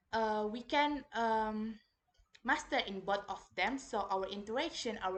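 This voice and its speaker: Against a quiet background, a woman with a fairly high pitch speaks at a very slow pace, her pitch varying in an ordinary way. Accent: Indonesian. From Indonesia. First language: Indonesian. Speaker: university student. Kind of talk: reading report presentation. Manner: halting, many fillers.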